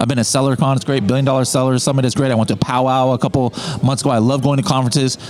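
A man's medium-pitched voice at a very fast clip, fairly even in intonation and very even in loudness, with noticeable background noise. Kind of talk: casual interview chat. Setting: in person at event.

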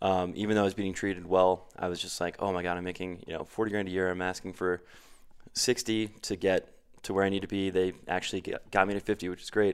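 A very fast-talking man with a US Northeastern accent, very deep and low in pitch, monotone and flat, on a very clean recording with a silent background. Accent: US Northeast. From Connecticut, US Northeast. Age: 30s. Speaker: salesperson and bartender. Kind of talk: casual interview. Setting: studio.

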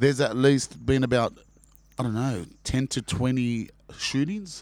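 Here a man speaks at a medium pitch. His pace is fairly slow. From Sydney, Australia. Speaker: actor. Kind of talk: casual chat.

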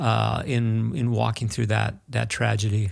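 On a very clean recording, a man talks against a silent background. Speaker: podcast host. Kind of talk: interview.

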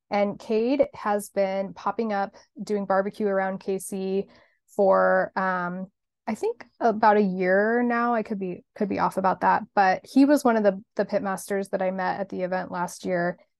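In an American accent, a woman speaks at a fairly slow pace and a medium pitch with fairly even intonation, an ordinary speaking voice. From Kansas (Hutchinson). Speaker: marketing agency owner. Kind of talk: casual interview.

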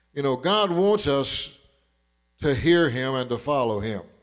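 In an Arkansas accent, a man speaks at a fairly slow pace with a fairly high voice. The recording is very clean, with a silent background. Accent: southern US (Arkansas). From southern Arkansas. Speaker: preacher. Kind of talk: sermon.

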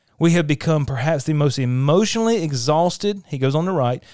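In a very clean recording with a silent background, a man uses an ordinary speaking voice with a fairly high pitch and lively intonation. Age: 40s. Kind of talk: devotional teaching monologue. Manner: conversational, with frequent fillers.

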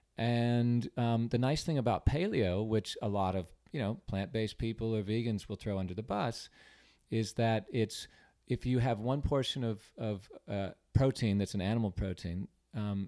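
Speaking with an American accent at a moderate pace, a man has a medium pitch, a dark, mellow tone and ordinary pitch variation, on a very clean recording with a silent background. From California, San Diego. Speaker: artist. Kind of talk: casual chat.

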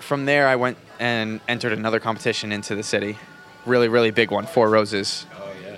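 With an American accent, a man speaks at a fairly low pitch and a fairly quick pace, his intonation fairly even against noticeable background noise. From New Jersey. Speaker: bartender. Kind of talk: casual interview. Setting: bar.

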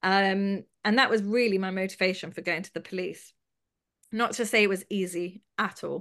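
A woman with a London accent at a medium pitch and moderate pace, with fairly even intonation and big swings in loudness. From London, England (Haredi community). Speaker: abuse survivor and charity founder. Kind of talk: testimony.

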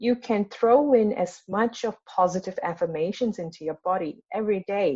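A woman's somewhat breathy voice with a dark, mellow tone, at a moderate pace with hardly any pauses. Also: medium pitch for a woman, ordinary pitch variation. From Singapore. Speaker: trauma release and Reiki practitioner. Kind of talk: interview conversation.

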